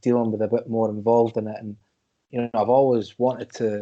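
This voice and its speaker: A man's medium-pitched, dark, mellow voice with a Scottish accent at a very fast pace. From Scotland. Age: 30s. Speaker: wrestling podcast guest. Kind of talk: casual chat. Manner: animated.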